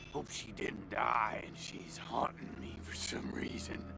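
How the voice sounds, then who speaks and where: Whispering in a put-on character voice, a man goes at a fairly slow pace with big swings in loudness over loud background noise. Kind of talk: stoner slang. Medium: video game. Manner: rambling, hesitant, laid-back.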